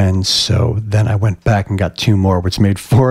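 Noticeable background noise sits behind a man's fairly low voice. He talks at a moderate pace with fairly even intonation. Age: 40s. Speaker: podcast host and cancer survivorship coach. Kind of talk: casual interview.

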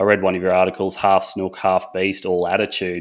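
Very fast speech with an Australian accent on a very clean recording with a silent background. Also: man. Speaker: podcast host. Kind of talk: casual interview.

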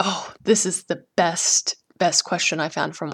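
This woman's fairly low voice carries vocal fry and ordinary pitch variation. The sound is dry and close, with no echo. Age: 30s. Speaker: painter and art teacher hosting a podcast. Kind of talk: solo podcast monologue.

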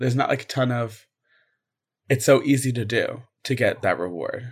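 This man talks at a moderate pace in a medium-pitched, somewhat breathy voice. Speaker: student podcast host. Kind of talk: interview.

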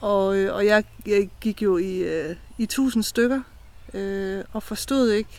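Very slowly, a woman talks at a medium pitch with fairly even intonation. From Denmark, eastern Jutland (Brejning Strand). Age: 40s. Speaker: mental health ambassador. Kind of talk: personal testimony. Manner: halting.

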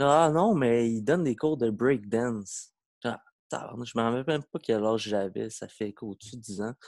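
A man talks at a fairly slow pace. His pitch sits in the middle range, with ordinary variation. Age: 20s. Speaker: breakdancer. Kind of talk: casual chat.

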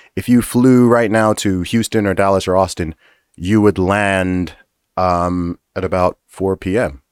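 In a very clean recording with a silent background and a dry, close sound with no echo, a man with a very deep, low pitch and an American accent speaks at a fairly slow pace with fairly even intonation. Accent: often taken for American. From Saudi Arabia, American school. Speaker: rapper and commentator. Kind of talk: casual interview.

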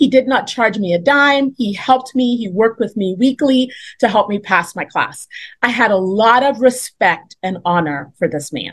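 A woman's somewhat breathy, fairly high voice moves at a moderate pace with lively intonation. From Trinidad. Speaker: homeschooling mother and businesswoman. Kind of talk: testimony.

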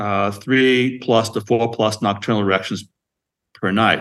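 In a quiet background, a man talks at a medium pitch and a moderate pace. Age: 60s. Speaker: emergency physician and device company founder. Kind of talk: interview. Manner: halting.

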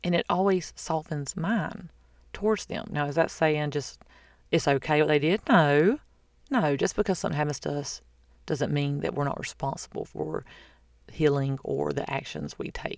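A woman with a Southern US accent, very deep and low-pitched, at a moderate pace with ordinary pitch variation, on a very clean recording with a silent background. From US South. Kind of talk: casual faith talk monologue. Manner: chatty.

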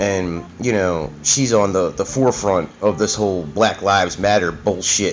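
A man speaks at a moderate pace in a very deep, low voice, with ordinary pitch variation, very even loudness and hardly any pauses, while music plays in the background. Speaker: podcast host. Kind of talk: casual rant, solo podcast monologue. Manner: informal, profane, opinionated.

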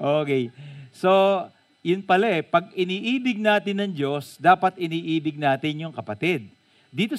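The delivery is animated, with lively intonation at a moderate pace. The sound is dry and close, with no echo. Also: man. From Philippines, Bulacan. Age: 50s. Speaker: pastor. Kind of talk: sermon.

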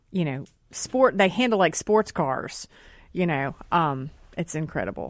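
In a very clean recording with a silent background, a woman with a Southern US accent speaks at a moderate pace and a fairly low pitch. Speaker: journalist. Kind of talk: casual radio talk show. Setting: radio studio.

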